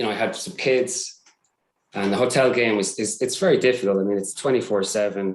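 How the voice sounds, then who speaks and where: An Irish accent with fairly even intonation. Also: man. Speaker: cybersecurity support staff. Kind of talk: casual interview. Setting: live stream. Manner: hesitant, many fillers.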